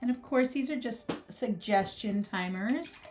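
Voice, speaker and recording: Over noticeable background noise, a soft-spoken woman talks at a moderate pace with lively intonation. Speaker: artist and art educator. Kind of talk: live stream art tutorial. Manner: casual, filler-heavy.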